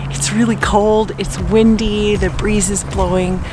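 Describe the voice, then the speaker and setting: The sound is dry with no echo, and clear music plays behind it. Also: woman. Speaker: photographer vlogger. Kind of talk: casual vlog chat. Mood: relieved, happy, reflective. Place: open country. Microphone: phone near.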